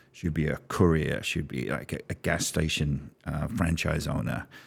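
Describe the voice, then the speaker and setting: This man has a very deep, low voice with ordinary pitch variation. He speaks at a moderate pace. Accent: London. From London, England. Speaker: business strategist. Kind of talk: podcast interview.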